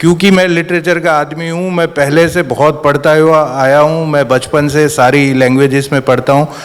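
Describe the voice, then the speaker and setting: Noticeable background noise runs under this recording. A man with a fairly high pitch and fairly even intonation talks with hardly any pauses. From Gujarat, Bhavnagar. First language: Gujarati (speaking Hindi). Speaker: screenwriter. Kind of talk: panel discussion.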